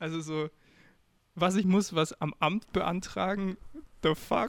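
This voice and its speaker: A man's high voice with fairly even intonation, at a very slow pace. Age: 20s. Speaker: podcast co-host, student. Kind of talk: casual chat.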